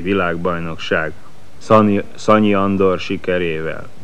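A man's very deep, low voice at a fairly slow pace, with fairly even intonation and audible room echo. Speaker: sports commentator. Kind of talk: live commentary.

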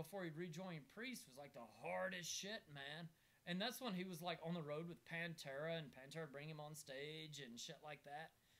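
A man with a fairly high pitch talks in an animated tone at a moderate pace. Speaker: comedian and podcast host. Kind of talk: casual chat. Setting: video recording with co-hosts in a room. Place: home room. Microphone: camera far.

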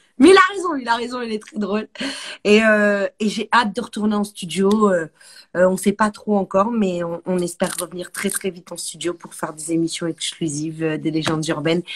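Over light background noise, a woman speaks at a moderate pace in an animated tone with ordinary pitch variation. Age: 40s. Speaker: music show host. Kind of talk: casual interview. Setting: home. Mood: relaxed, smiling. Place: home room. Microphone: phone near.

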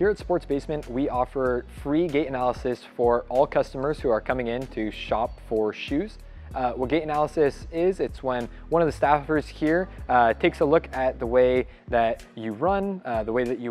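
A man speaks at a moderate pace with ordinary pitch variation. Faint music plays in the background. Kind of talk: interview answer. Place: shop.

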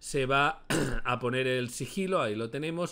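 A man's bright, sharp tone with very wide pitch swings. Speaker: gaming youtuber. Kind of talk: gameplay commentary.

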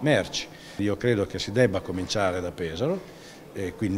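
This man has a fairly low pitch and fairly even intonation at a moderate pace. Light background noise sits under his voice. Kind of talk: interview answer. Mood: critical, measured. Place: hall.

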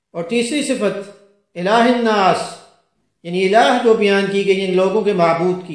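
A man talks in a high pitch with ordinary pitch variation. The background is quiet, though audible room echo can be heard. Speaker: Islamic scholar and Quran reciter. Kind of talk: religious sermon explaining scripture. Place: home room.

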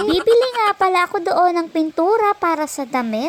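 Against noticeable background noise, a woman with an extremely high pitch speaks at a moderate pace in an animated tone, her pitch swinging very widely. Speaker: vlogger. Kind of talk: voice-over narration.

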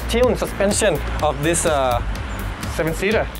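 Music plays in the background behind a man. He speaks at a moderate pace. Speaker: car reviewer. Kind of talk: car review presentation. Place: street.

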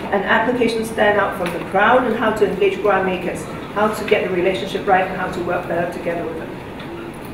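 With audible room echo and noticeable background noise, a woman talks at a very fast pace. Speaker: keynote speaker. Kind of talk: lecture. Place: hall.

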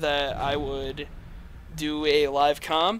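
A man speaks in a tired tone, his pitch fairly high. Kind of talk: gaming live commentary. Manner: tired, monotone.

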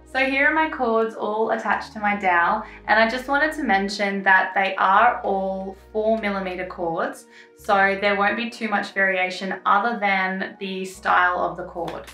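A woman talks at a moderate pace with ordinary pitch variation. Faint music plays behind her, and the room echo is audible. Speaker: craft tutor. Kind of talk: tutorial. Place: home room.

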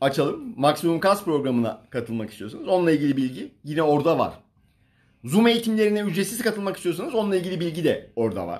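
A man talks very fast at a high pitch with very wide pitch swings. The background is quiet. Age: 40s. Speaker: fitness coach. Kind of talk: livestream talk. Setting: Instagram live stream. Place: home room. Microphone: phone near.

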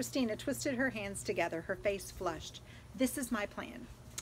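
Pitch varies in an ordinary way as someone reads in a natural reading voice.

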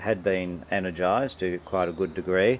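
At a moderate pace, a man speaks in a very deep, low pitch against light background noise. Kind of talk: commentary. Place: garage. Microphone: phone near.

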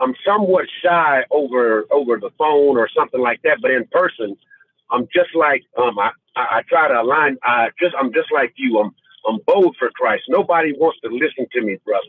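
Speech comes at a moderate pace over a quiet background, with dry sound and no echo. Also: man. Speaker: viewer sharing testimony. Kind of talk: testimony. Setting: video call. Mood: emotional, earnest. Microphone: phone line.

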